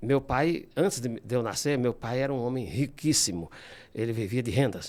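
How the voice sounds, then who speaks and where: His pace is fairly slow. The man's pitch is medium, with ordinary pitch variation. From São Paulo, Brazil (born in Ceará, moved at 7). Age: 60s. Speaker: classical guitarist and composer. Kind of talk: interview. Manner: halting.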